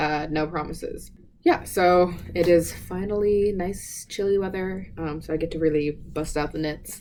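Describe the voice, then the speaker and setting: A woman with an American accent, fairly low in pitch with a dark, mellow tone, fairly even intonation and a moderate pace. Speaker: knitting podcaster. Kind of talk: casual chat. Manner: stumbles over words.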